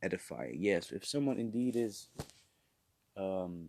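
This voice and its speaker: A man with a Dutch accent speaks at a fairly low pitch. The sound is dry and close, with no echo. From Netherlands. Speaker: preacher. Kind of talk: sermon.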